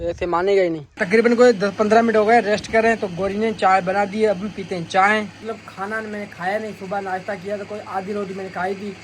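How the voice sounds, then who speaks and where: A man's high-pitched voice at a moderate pace, flat and monotone yet with big swings in loudness, over noticeable background noise. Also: hardly any pauses. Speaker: village vlogger. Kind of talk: casual vlog narration.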